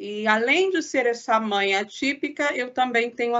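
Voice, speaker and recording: A woman with a plain, everyday voice talks at a fairly slow pace, her fairly high pitch showing ordinary variation. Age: 40s.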